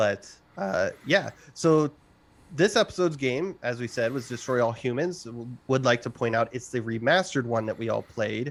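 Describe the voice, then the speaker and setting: Lively intonation and a moderate pace in a man's normal speaking voice, pitched in the medium range. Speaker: gaming podcast host. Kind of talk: casual chat.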